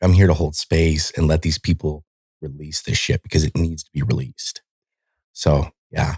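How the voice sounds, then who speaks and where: A man speaks at a moderate pace in a somewhat breathy voice. The recording is very clean with a silent background and a dry, close sound with no echo. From Montana, US. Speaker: military veteran. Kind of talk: casual chat. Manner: animated.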